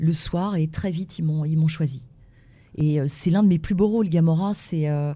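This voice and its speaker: A woman's very deep, low pitch, somewhat breathy, with a dark, mellow tone. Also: fairly even intonation, moderate pace, very clean recording, silent background. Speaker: voice actress. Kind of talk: interview.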